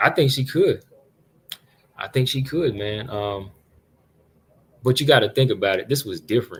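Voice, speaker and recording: A man's somewhat breathy voice moves at a moderate pace with lively intonation and a medium pitch. The recording is very clean, with a silent background. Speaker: MMA livestream host. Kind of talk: live commentary. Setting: livestream away from home. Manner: casual, conversational. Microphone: not usual laptop mic, sounds sharp.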